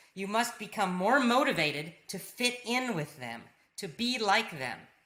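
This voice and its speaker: A woman's bright, sharp voice with an American accent, amid audible room echo. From US South (Virginia, Georgia). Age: adult. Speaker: English teacher. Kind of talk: lecture.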